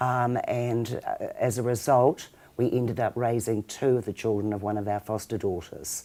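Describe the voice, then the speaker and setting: A woman with a New Zealand accent has a very deep, low pitch and a dark, mellow tone. Her intonation stays fairly even. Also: moderate pace. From New Zealand, Auckland. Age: 60s. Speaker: charity founder. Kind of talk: interview.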